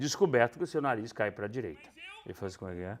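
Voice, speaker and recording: An animated tone and lively intonation come through on a very clean recording with a silent background. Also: man. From northern Brazil, Belém. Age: 60s. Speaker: stage actor. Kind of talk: interview. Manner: animated storytelling.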